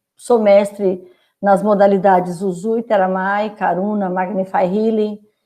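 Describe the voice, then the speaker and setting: Fairly slow and fairly even in intonation, a woman speaks with a dark, mellow tone. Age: 60s. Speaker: reiki master. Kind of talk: casual chat.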